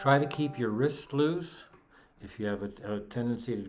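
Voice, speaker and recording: A man keeps a moderate pace while audible room echo follows his words. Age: 70s. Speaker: guitar teacher. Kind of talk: tutorial. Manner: halting.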